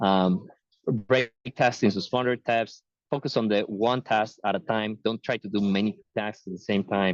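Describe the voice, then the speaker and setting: An unremarkable speaking voice moves at a moderate pace, recorded with a dry, close sound and no echo. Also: man, fairly low pitch for a man, fairly even intonation. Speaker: tech talk speaker. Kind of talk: webinar presentation. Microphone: unstable connection, dropping out.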